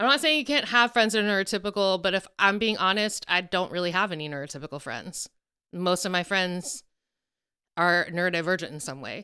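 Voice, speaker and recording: A woman with an American accent talks at a fairly quick pace, her tone bright and sharp, with big swings in loudness. The recording is very clean, with a silent background. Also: medium pitch for a woman, lively intonation. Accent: southern US, stronger around country accents. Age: 40s. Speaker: podcast co-host. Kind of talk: casual chat.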